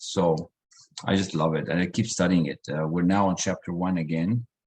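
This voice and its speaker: With a non-native accent, a man speaks at a moderate pace in a very deep, low pitch. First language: not English. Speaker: personal development coach. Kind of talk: online group session. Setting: video call.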